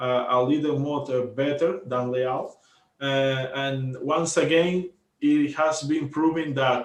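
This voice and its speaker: Speaking very slowly with a Spanish accent, a man talks at a fairly high pitch. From Cuba. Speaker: volleyball podcast co-host. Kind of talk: casual sports commentary chat. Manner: halting, many fillers and repetitions.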